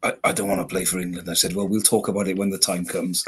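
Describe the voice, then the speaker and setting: Talking very fast with a Welsh accent, a man with a very deep, low voice keeps a flat, monotone intonation. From Wales, lives in Wolverhampton. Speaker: podcast guest.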